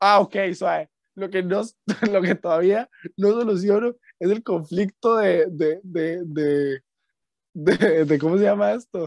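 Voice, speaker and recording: With a Costa Rican accent, a man with a high pitch talks at a very slow pace with long, frequent pauses, in a dry, close sound with no echo. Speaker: podcast host. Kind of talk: casual chat.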